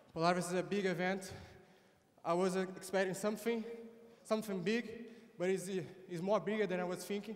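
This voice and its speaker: With a Brazilian Portuguese accent, a man talks at a fairly quick pace in a high pitch and a monotone, flat intonation. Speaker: jiu-jitsu competitor. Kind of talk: post-fight interview. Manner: halting.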